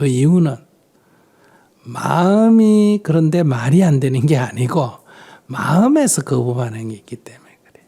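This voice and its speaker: Speaking at a fairly slow pace, a man with a fairly high pitch uses lively intonation, big swings in loudness, and long, frequent pauses. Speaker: Buddhist monk. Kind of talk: dharma talk answering audience questions.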